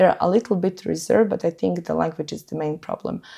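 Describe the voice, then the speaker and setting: A woman's fairly low voice with vocal fry, ordinary pitch variation and a fairly quick pace. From Montenegro. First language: Montenegrin. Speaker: former exchange student. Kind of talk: podcast interview.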